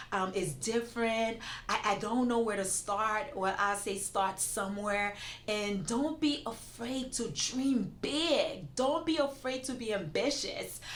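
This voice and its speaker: A woman with a non-native accent speaks at a fairly high pitch and fairly slow pace in an animated tone with lively intonation, in audible room echo. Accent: foreign. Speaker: immigration attorney. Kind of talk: interview.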